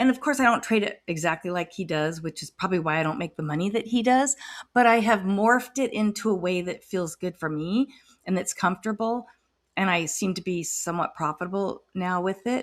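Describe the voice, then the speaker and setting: Fairly quick speech from a woman of medium pitch, with ordinary pitch variation and a plain, everyday voice. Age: 60s. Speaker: retiree day trader. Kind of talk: casual screen-share trading recap.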